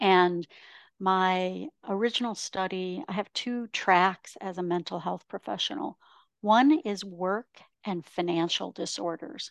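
An unremarkable speaking voice at a fairly slow pace, with ordinary pitch variation, a quiet background and a dry, close sound with no echo. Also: woman. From Ontario, Canada. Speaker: professional speaker and author. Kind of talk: interview.

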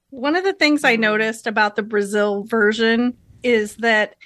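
Using an ordinary speaking voice, a woman speaks at a fairly slow pace with a fairly high pitch and ordinary pitch variation. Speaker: co-host guest. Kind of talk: casual chat.

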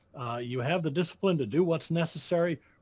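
Speaking with an American accent, a man with a fairly high, somewhat breathy voice and ordinary pitch variation keeps a moderate pace in a very clean recording with a silent background. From Iowa, US Midwest. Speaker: accountant and payroll business founder. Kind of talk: interview.

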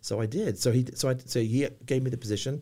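Over a silent background in a very clean recording, a man with an English accent speaks in a dark, mellow tone with fairly even intonation. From England. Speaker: business owner. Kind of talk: casual chat.

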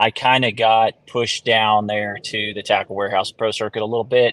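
A man's medium-pitched, monotone voice at a moderate pace with hardly any pauses, over a quiet background. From Florida. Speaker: professional bass angler. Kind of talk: interview.

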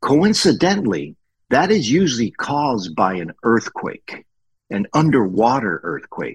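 A man speaks fairly slowly at a medium pitch, with vocal fry and very wide pitch swings. The sound is dry and close, with no echo. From Colombia, raised in US (South Florida). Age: 60s. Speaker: retired engineer and instructor. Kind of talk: interview.

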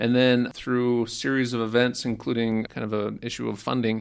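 The speaker talks at a fairly quick pace with a Utah accent. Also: man. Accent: Utah American English. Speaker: historian. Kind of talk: interview.

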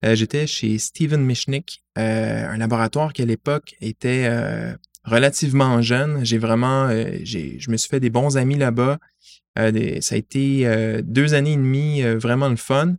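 Speaking at a very slow pace, a man with a medium-pitched voice keeps a fairly even intonation in a dry, close sound with no echo. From Montreal, Quebec (LaSalle). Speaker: science media relations adviser. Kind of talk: interview. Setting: in person.

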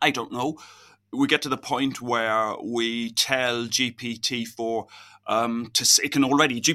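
The tone is bright and sharp. Intonation is fairly even. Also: man. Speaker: physicist and university lecturer. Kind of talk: interview.

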